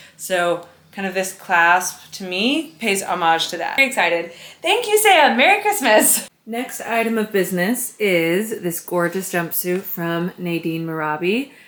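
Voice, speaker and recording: A woman with an American accent speaks in an animated tone with lively intonation, at a fairly slow pace and medium pitch, over noticeable background noise. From United States. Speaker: lifestyle vlogger. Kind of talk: casual vlog haul. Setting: at home, bedroom.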